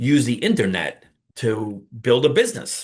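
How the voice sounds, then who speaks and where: A man with a New York accent speaks at a medium pitch in a somewhat breathy voice, with ordinary pitch variation. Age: 50s. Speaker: online business coach. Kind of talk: casual talk to camera. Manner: animated.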